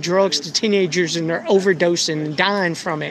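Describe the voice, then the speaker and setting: A loud man speaks with ordinary pitch variation over noticeable background noise. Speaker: citizen journalist. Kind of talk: heated debate.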